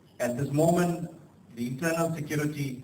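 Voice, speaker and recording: A man talks at a moderate pace with ordinary pitch variation. The room echo is audible and background noise is noticeable. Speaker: guest speaker at student conference. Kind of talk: ceremonial speech. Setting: conference hall with audience, PA mic. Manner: halting, many fillers.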